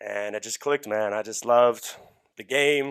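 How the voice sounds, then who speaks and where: Recorded very cleanly against a silent background, a man with an Australian accent speaks at a medium pitch with fairly even intonation, the sound dry and close with no echo. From Australia (city). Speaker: strength coach. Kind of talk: casual chat.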